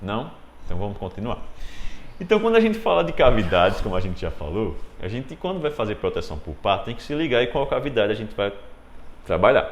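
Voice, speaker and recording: A man talks at a fairly quick pace in an animated tone. He leaves long, frequent pauses, and room echo is audible. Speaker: dentistry lecturer. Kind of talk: lecture.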